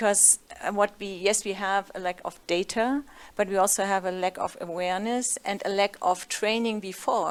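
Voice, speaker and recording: A woman talks in a German accent at a moderate pace. Her pitch is medium. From Germany. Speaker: panelist, gender research manager. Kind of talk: panel discussion.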